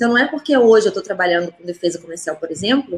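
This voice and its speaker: Her fairly high voice carries lively intonation as this woman speaks. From Minas Gerais, Juiz de Fora (Brazil). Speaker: diplomat. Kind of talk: live stream interview.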